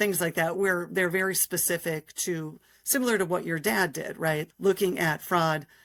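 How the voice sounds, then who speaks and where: With an American accent, a woman talks at a moderate pace in an ordinary speaking voice, fairly low in pitch with fairly even intonation, on a very clean recording with a silent background. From Minnesota. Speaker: state politician. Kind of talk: interview.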